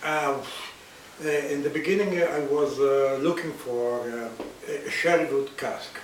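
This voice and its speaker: A man with a fairly high pitch talks at a moderate pace in an Italian accent, with ordinary pitch variation and long, frequent pauses. Audible room echo and noticeable background noise fill the recording. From Italy. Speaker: whisky bottler. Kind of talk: interview. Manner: halting.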